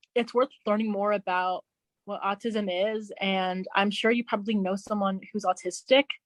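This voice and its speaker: Medium-pitched woman at a moderate pace, with monotone, flat intonation. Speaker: behavior therapist. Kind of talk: interview conversation. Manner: halting, occasional repeated sounds.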